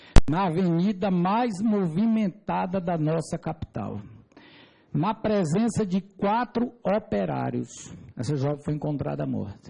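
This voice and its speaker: A man's high-pitched voice, dark and mellow in tone, moves at a fairly slow pace with lively intonation and very even loudness. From Brazil, Piauí (Teresina). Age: 40s. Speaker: civil engineer giving testimony. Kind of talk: testimony before a parliamentary committee. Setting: parliamentary committee hearing. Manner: formal.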